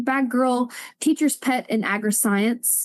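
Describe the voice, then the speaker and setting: Against a quiet background, a woman with a Southern US accent speaks with ordinary pitch variation. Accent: Southern American. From Alabama, USA. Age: 20s. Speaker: spoken word poet. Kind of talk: slam poetry performance. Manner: forceful.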